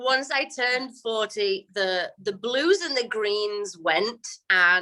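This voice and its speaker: A woman with an English accent, bright and sharp in tone, very slow, with lively intonation. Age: 40s. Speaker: retired ballroom dancer. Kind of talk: interview. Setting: video call. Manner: halting.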